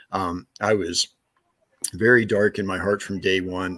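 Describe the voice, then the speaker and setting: A man with an American accent speaks in a fairly low, monotone voice with flat intonation. The sound is dry and close with no echo, on a very clean recording with a silent background. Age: 60s. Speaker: evangelist and retired rocket scientist. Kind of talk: interview. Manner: halting, many fillers.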